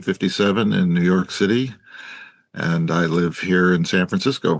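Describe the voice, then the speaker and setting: A man with an American accent speaks at a moderate pace with ordinary pitch variation. It is a normal speaking voice over a quiet background. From US West Coast (Oakland, California; earlier Chicago). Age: 60s. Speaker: anarchist activist and writer. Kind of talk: oral history interview.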